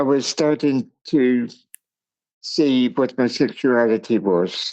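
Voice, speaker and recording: This man talks very slowly. His voice has a medium pitch. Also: ordinary pitch variation. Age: 60s. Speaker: podcast guest. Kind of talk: personal testimony.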